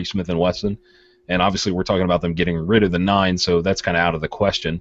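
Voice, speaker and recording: A man speaks in a very deep, low, resonant voice. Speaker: podcast panelist discussing firearms.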